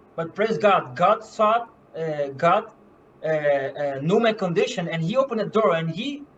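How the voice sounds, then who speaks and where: Noticeable background noise sits behind a man's voice. He speaks at a high pitch with lively intonation. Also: moderate pace. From Curaçao and Bonaire. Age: 20s. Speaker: medical missionary. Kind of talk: testimony. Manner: halting, many fillers and repeats.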